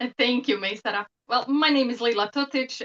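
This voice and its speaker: A woman's bright, sharp voice with a Bosnian accent, fairly even in intonation, with a dry, close sound and no echo. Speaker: professor and psychotherapist. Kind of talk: interview.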